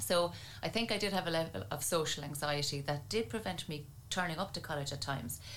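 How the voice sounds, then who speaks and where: With audible room echo, a woman in an Irish accent speaks at a very fast pace, her pitch very deep and low and her intonation lively. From Ireland, County Tipperary. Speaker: neuroscience researcher and university lecturer. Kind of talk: interview.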